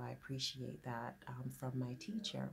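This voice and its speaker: Somewhat breathy female voice. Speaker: business owner, grant consultant. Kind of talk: informal talk to camera. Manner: hesitant, with fillers.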